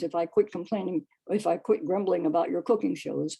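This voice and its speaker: Lively intonation runs through a dark, mellow tone marked by vocal fry. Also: woman. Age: 90s. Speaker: poet. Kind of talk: poetry reading.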